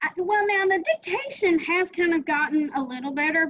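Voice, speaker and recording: A woman speaks with an American accent at a fairly quick pace. Her pitch is extremely high, with ordinary variation. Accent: Southern, slips in. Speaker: author and interview host. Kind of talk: interview.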